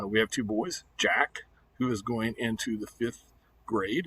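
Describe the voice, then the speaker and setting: At a fairly slow pace, a man with a Midwestern American accent speaks with a medium pitch. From US Midwest, Missouri. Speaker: teacher. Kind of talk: class welcome video. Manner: halting with fillers.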